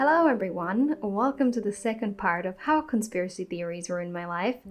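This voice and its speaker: A woman speaks at a medium pitch. Her intonation is lively. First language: not English. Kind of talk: casual talk to camera.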